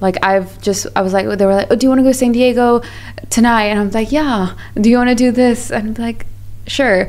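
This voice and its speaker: The speaker talks at a fairly quick pace. Noticeable background noise can be heard. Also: woman, fairly high pitch for a woman. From Pakistan, raised partly in Malaysia. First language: not English. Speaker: business founder. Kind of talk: podcast interview. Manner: animated.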